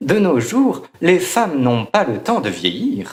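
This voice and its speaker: A man puts on a character voice with a high pitch and very wide pitch swings. He talks at a fairly slow pace. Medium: read story. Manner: haughty, impatient.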